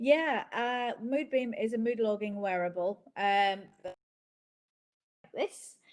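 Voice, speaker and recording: Speaking at a fairly slow pace in a Northern Irish accent, a woman shows ordinary pitch variation. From Northern Ireland. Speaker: company founder. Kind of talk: interview. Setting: video call.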